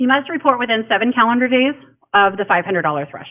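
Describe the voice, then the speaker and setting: A woman speaks at a very fast pace, her pitch swinging very widely. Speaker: county elections official. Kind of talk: public information presentation.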